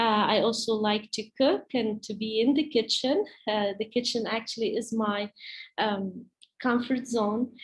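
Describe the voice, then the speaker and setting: A woman's somewhat breathy, fairly high-pitched voice with an Arabic accent, fairly even intonation and a fairly slow pace. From Palestine. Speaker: teacher. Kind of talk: presentation to parents. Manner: halting, many fillers.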